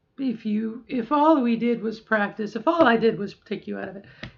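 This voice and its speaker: The woman has an unremarkable speaking voice at a fairly high pitch. She keeps a moderate pace with ordinary pitch variation. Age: middle-aged. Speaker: transgender woman doing voice training. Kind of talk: casual talk to camera during voice practice.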